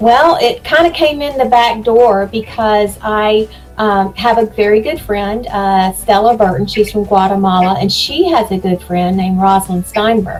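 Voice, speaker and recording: A woman's fairly high, lively voice at a moderate pace, hardly any pauses, with music in the background. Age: 60s. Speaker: self-taught artist and photographer. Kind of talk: interview.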